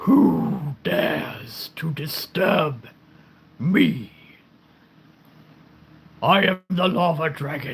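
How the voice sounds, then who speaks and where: In a raspy put-on character voice with fairly high pitch, a man speaks very slowly, with long, frequent pauses. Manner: menacing, booming.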